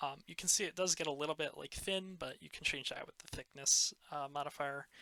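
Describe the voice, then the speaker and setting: A soft-spoken man talks at a fairly quick pace in a fairly high pitch, his tone bright and sharp. His intonation stays fairly even while his loudness swings widely. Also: dry, close sound with no echo. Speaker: shader creator. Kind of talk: tutorial. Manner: hesitant, many fillers.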